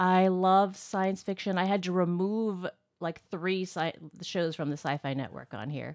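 Recorded very cleanly against a silent background, a woman with a plain, everyday voice speaks at medium pitch and a fairly slow pace, with ordinary pitch variation. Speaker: podcast producer. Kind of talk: casual chat.

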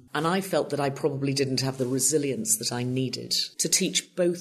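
A woman speaks with an English accent and a very deep, low pitch. She keeps a moderate pace. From northwest England, Lancashire. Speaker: TV producer. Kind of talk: interview.

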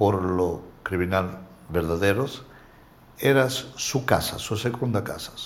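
A fairly slow pace with ordinary pitch variation and audible room echo. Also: man. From Calabria, southern Italy. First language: Italian (speaking Spanish). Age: 60s. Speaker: interviewee, alleged mafioso businessman. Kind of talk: interview. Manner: halting.

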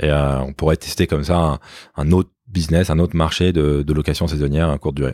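On a very clean, silent recording that sounds dry and close with no echo, a man with a very deep, low pitch and a dark, mellow tone talks fairly quickly in a fairly even intonation. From Paris suburbs, France. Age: 40s. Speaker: entrepreneur. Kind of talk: interview.

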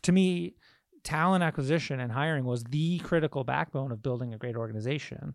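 In an American accent, a man with a plain, everyday voice speaks fairly quickly at a fairly high pitch with lively intonation, on a very clean recording with a silent background. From Michigan, US Midwest. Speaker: tech startup CEO. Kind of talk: interview conversation.

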